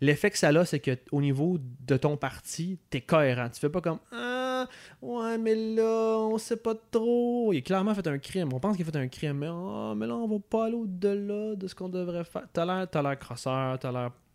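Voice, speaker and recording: Very wide pitch swings from a man with a high pitch, moderate pace and a very clean recording with a silent background. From Quebec City, Quebec. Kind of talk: casual political chat.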